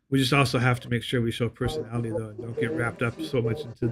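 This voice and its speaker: Over music in the background, a man talks at a very fast pace in a medium pitch. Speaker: podcast co-host planning a show. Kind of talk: casual chat. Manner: halting, many repeated words.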